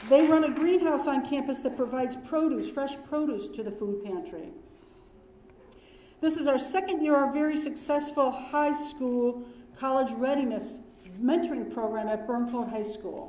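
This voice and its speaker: A loud woman's voice, high in pitch, with ordinary pitch variation and audible room echo. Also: moderate pace. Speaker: dean of students. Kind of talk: ceremony speech. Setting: ceremony hall with audience.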